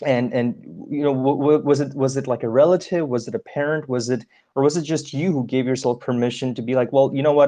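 Over a quiet background, a man with a dark, mellow tone and a fairly high pitch talks at a fairly quick pace. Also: ordinary pitch variation. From India. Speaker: podcast co-host, coach. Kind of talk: casual interview. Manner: hesitant, many fillers.

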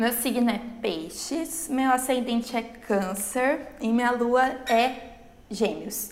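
With audible room echo, a woman speaks very slowly in a high pitch that varies in an ordinary way. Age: 20s. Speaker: podcast co-host. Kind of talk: casual chat.

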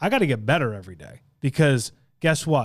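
On a very clean recording with a silent background, a man speaks in an American accent at a fairly high pitch. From Long Island, New York. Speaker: podcast host, insurance agency leader. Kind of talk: podcast interview.

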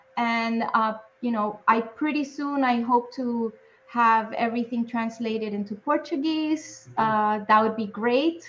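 A woman with an American accent talks at a fairly slow pace in an ordinary speaking voice. Her pitch is fairly high, with ordinary pitch variation. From New York City, Spanish Harlem. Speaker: actress. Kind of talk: interview.

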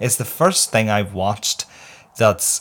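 Speaking at a fairly slow pace, a man with a Northern Irish accent uses a fairly low pitch. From Northern Ireland. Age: 30s. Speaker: podcaster. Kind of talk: casual chat. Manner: animated.

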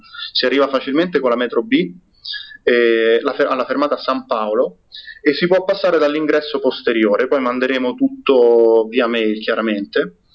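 Lively intonation marks this man's medium-pitched voice at a moderate pace. His loudness stays very even. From Rome, Italy. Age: 20s. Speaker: software developer and community organizer. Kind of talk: podcast interview. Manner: halting, frequent repetitions.

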